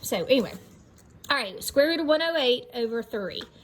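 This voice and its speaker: Lively, fairly quick speech from a woman over noticeable background noise. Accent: American. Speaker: math teacher. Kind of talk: lecture. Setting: outdoors.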